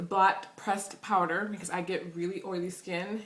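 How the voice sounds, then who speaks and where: A woman's fairly low-pitched voice in monotone, flat intonation, with audible room echo and noticeable background noise. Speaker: beauty vlogger. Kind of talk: product haul review.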